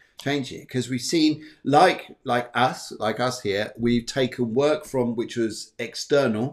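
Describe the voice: Ordinary pitch variation in a man's voice of medium pitch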